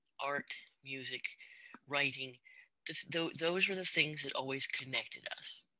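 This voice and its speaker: A soft-spoken woman's very deep, low voice with a bright, sharp tone, fairly slow pace, ordinary pitch variation and long, frequent pauses. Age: old. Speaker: artist, musician and former teacher. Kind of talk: interview. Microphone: mic cutting in and out.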